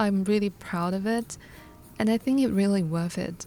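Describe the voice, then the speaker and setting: With music in the background, a woman speaks in a Hong Kong accent with fairly even intonation. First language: Cantonese. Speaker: illustrator vlogger. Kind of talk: vlog narration. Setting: home studio desk. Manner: clear, careful.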